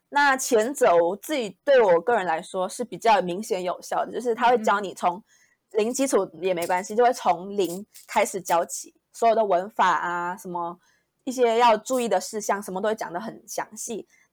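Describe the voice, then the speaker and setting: On a very clean recording with a silent background, a woman in a normal speaking voice talks at medium pitch and a moderate pace, with big swings in loudness. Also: ordinary pitch variation. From Malaysia. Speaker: recent university graduate. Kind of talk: interview.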